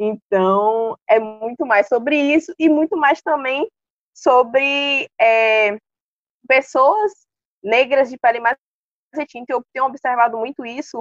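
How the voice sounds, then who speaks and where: A woman speaks very slowly in a high pitch with ordinary pitch variation, leaving long, frequent pauses. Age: 20s. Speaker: university student. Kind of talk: casual chat.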